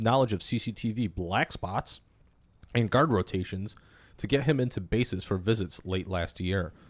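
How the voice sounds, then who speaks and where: This man has an unremarkable speaking voice at medium pitch. His pitch varies in an ordinary way. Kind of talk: casual banter, crude comedy chat. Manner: joking, playful.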